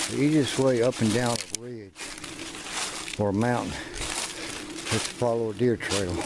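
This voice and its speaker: A man with an Appalachian accent speaks at a medium pitch and pauses long and often. Noticeable background noise and audible room echo come through. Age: 50s. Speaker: outdoor vlogger. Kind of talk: casual vlog narration while hiking. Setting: outdoors on mountain trail.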